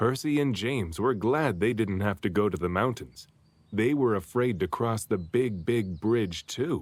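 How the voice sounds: Lively intonation at a fairly slow pace, with a slightly mellow tone. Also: man, fairly low pitch for a man.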